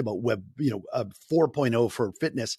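Using a plain, everyday voice, a man speaks at a moderate pace with a medium pitch and lively intonation, in a dry, close sound with no echo. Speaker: podcast host. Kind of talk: interview, casual chat.

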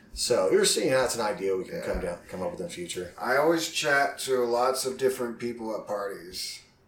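Over noticeable background noise and audible room echo, a man talks at a fairly quick pace with hardly any pauses. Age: 30s. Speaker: podcast host. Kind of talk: casual chat.

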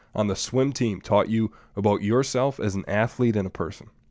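Fairly low-pitched male speech with an Upper Midwest US accent, ordinary pitch variation and a moderate pace, on a very clean recording with a silent background. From Wisconsin, Green Bay area. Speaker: podcast host. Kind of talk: interview.

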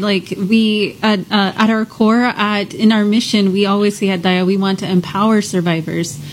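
A woman's medium-pitched voice at a moderate pace, fairly even in intonation and with hardly any pauses, over noticeable background noise. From Houston. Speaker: nonprofit outreach director. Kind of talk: radio interview. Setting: studio.

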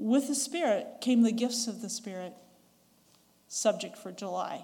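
With long, frequent pauses, a woman speaks at a fairly slow pace in a fairly high pitch, her somewhat breathy voice dark and mellow in tone, with ordinary pitch variation and big swings in loudness. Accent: western US. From western US. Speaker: church elder preacher, former English teacher. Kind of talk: sermon. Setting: church. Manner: conversational, asks the audience questions.

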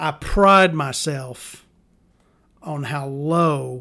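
A man speaks with a Southern US accent and fairly even intonation. His tone is bright and sharp. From US South. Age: 40s. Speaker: podcast host. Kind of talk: casual monologue. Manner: rambling, hesitant with many ums.

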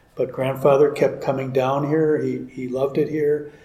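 A man with an American accent, fairly high in pitch, at a moderate pace and with fairly even intonation, amid noticeable background noise. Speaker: ranch homeowner. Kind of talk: interview. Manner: halting.

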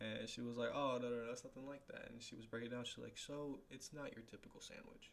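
A man uses a normal speaking voice, talking at a fairly quick pace. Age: 20s. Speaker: podcast host. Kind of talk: casual solo chat. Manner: casual, rambling.

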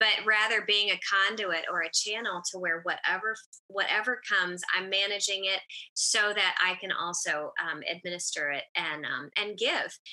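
A woman uses an ordinary speaking voice at a moderate pace, with medium pitch and ordinary pitch variation. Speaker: podcast co-host. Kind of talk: casual chat.

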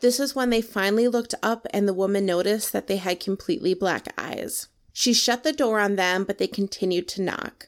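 A woman speaks at a fairly quick pace in an unremarkable speaking voice, with medium pitch, ordinary pitch variation and hardly any pauses. The recording is very clean, with a silent background. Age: 30s. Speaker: podcast co-host. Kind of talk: storytelling.

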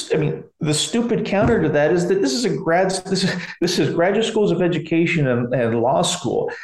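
The voice carries an American accent, somewhat breathy, at a fairly quick pace. Its pitch swings very widely, with audible room echo. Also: man. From US Pacific Northwest (McMinnville, Oregon). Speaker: professor of higher education. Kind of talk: interview, explanatory. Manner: halting, with many repeated words.

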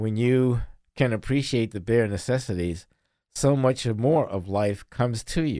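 A man's medium-pitched, dark, mellow voice with an American accent, moderate pace, ordinary pitch variation and a very clean recording with a silent background. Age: 60s. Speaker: podcast co-host. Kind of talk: casual conversational podcast chat.

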